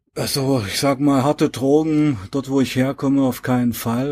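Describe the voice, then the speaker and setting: A man with a dark, mellow tone talks with fairly even intonation. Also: very clean recording, silent background. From Saxony-Anhalt, eastern Germany. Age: 40s. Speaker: author and former drug addict. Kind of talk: casual interview.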